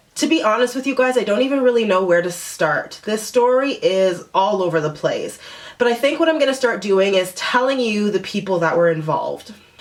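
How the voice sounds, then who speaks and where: An animated woman speaks fairly quickly with a fairly high pitch and lively intonation. She leaves hardly any pauses, and there is noticeable background noise. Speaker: vlogger. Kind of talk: storytime vlog.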